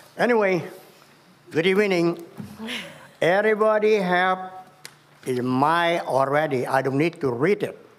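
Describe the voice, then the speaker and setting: Over noticeable background noise, a man with a high pitch and ordinary pitch variation speaks at a fairly slow pace, leaving long, frequent pauses. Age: 70s. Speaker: public commenter at city council. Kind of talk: public comment speech. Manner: halting.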